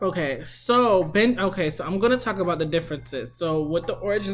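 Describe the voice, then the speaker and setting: Background music accompanies a woman as she talks. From US, child of immigrants. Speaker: author. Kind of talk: casual vlog talk. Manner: fast; casual, filler-heavy.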